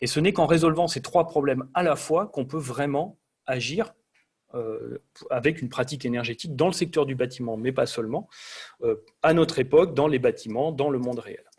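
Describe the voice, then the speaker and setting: A man's somewhat breathy voice sits fairly high in pitch, with ordinary pitch variation. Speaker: energy design engineer presenter. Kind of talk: lecture. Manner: fast.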